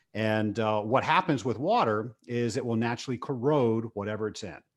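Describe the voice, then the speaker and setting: With an American accent and an ordinary speaking voice, a man speaks at a moderate pace and medium pitch with ordinary pitch variation against a quiet background. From Virginia, Richmond. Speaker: business owner and podcast host. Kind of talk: interview.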